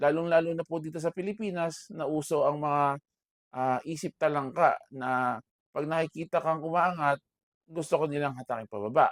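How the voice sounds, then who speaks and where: A man's fairly high voice with ordinary pitch variation at a moderate pace, dry and close with no echo on a very clean recording with a silent background. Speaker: vlogger and bakery owner. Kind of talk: personal talk to camera. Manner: loud voice.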